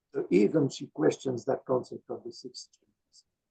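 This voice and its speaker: In a dry, close sound with no echo, a man with a fairly high pitch and vocal fry talks at a moderate pace. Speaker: invited speaker on philosophy. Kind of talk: Q&A discussion after lecture. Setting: video call. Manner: hesitant. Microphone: poor microphone setup, hard to hear.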